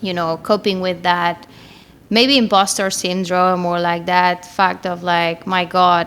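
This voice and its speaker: Talking at a fairly slow pace and medium pitch, a woman with a Spanish accent keeps a monotone, flat intonation. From Spain. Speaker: marketing manager. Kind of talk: podcast interview.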